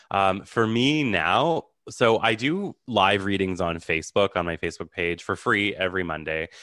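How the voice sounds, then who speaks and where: A man with a Canadian accent and a plain, everyday voice, fairly low in pitch, with lively intonation at a moderate pace, in a very clean recording with a silent background. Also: hardly any pauses. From Canada, Ottawa. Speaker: psychic medium. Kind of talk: interview.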